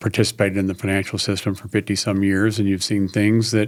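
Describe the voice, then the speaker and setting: Fairly quick and flat in a monotone, a man with a fairly low pitch speaks on a very clean recording with a silent background. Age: 70s. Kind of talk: interview conversation.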